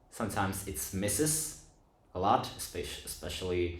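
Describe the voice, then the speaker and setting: Very deep and low in pitch, a man talks at a moderate pace. His voice is somewhat breathy, with audible room echo. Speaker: film review youtuber. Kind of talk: casual video essay monologue. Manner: halting, many fillers and restarts.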